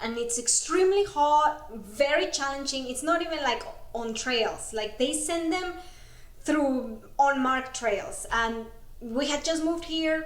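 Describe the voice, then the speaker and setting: Audible room echo surrounds a woman speaking at a high pitch in a Spanish accent, fairly slow, with ordinary pitch variation. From Mexico. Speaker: ultrarunner. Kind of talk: casual interview.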